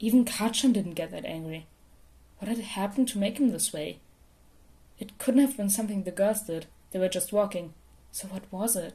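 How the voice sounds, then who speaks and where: A woman talks at a moderate pace and medium pitch with ordinary pitch variation. Her loudness swings widely, and she leaves long, frequent pauses. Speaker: podfic reader. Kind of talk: fan fiction audiobook reading.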